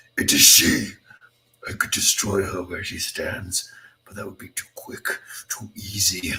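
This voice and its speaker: A man does a put-on character voice, raspy and fairly low in pitch. His tone is menacing and theatrical, his pace fairly slow. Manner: menacing, theatrical.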